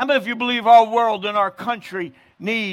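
A man speaks in an American accent. His pitch is high. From New Jersey. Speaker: evangelist. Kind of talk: sermon. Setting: outdoors.

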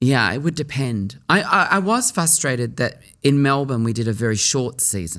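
On a very clean recording with a silent background, a man with a bright, sharp tone and medium pitch speaks with lively intonation and hardly any pauses. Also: moderate pace. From Sydney, Australia (Surry Hills). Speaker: actor and cabaret performer. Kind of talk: interview. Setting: studio.

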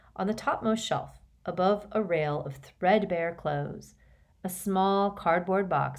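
Unforced reading, pitch rising and falling in an ordinary way.

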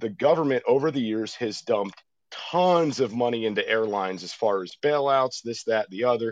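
A man's plain, everyday voice at medium pitch, with ordinary pitch variation and a moderate pace. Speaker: former school resource officer, caller. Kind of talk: serious call-in discussion. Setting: phone call.

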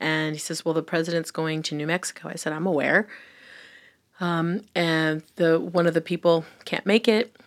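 A woman with an American accent and a normal speaking voice, fairly low in pitch, at a moderate pace with fairly even intonation, on a very clean recording with a silent background. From US, Filipino heritage. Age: 50s. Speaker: government senior advisor. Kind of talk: interview. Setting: studio.

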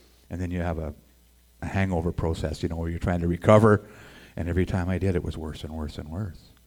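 A man with a very deep, low voice and a western Canadian accent talks at a very fast pace in a monotone, flat intonation. The recording is very clean with a silent background. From Edmonton, Alberta, Canada. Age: 60s. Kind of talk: testimony. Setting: stage with audience.

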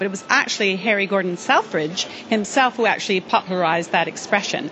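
With a British accent, a woman talks at a moderate pace in a medium pitch with ordinary pitch variation, over noticeable background noise. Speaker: store executive. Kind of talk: casual interview chat. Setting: department store.

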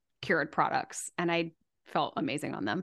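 A woman with an ordinary speaking voice, fairly low in pitch, at a moderate pace against a quiet background. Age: 40s. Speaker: podcast host and business coach. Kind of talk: interview conversation.

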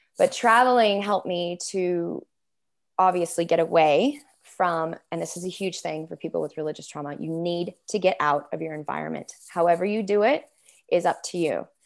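A woman with a fairly low voice speaks at a moderate pace in an unremarkable speaking voice, with ordinary pitch variation. Her loudness swings widely, captured in a very clean recording with a silent background. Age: 40s. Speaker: religious trauma therapist and coach. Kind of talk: interview.

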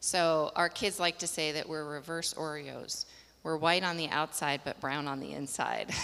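This woman has an American accent and a very deep, low pitch, with vocal fry, a bright, sharp tone and monotone, flat intonation. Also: moderate pace. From Colorado. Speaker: missionary. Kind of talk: interview.

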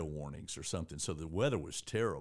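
Very fast delivery with lively intonation, in a Southern US accent. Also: man, very clean recording, silent background. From Georgia, US (East Point, near Atlanta). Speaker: newspaper editor and former sports writer. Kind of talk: casual chat.

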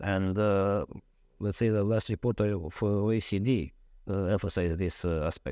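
The man has a dark, mellow tone and a fairly low pitch, speaking at a moderate pace. His loudness is very even and his intonation fairly even. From Romania. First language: Romanian. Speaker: lawyer. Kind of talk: interview. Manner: halting.

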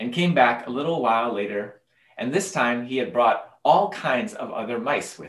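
Lively intonation in plain reading aloud

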